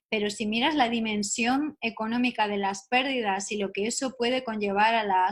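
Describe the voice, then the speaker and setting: A woman talks in a Spanish accent, her voice fairly high and somewhat breathy. Her intonation stays fairly even. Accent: Spanish (Spain). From Spain. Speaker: neuropsychologist. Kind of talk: radio interview.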